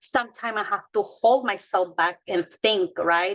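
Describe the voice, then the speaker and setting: Here is a woman with a Mexican accent and a medium pitch. Her pitch varies in an ordinary way. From Mexico. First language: Spanish. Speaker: childcare provider. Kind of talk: panel discussion. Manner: halting.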